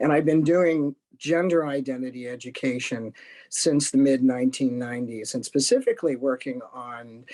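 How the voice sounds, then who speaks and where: Over a quiet background, a man with an ordinary speaking voice talks at a moderate pace and medium pitch with fairly even intonation. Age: 60s. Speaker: retired discrimination investigator and gender identity educator. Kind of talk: panel discussion.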